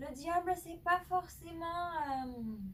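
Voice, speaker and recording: A loud woman's voice at a very slow pace, with lively intonation. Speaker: tarot card reader. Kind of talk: tarot reading monologue. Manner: hesitant, many filler sounds; speaking loudly.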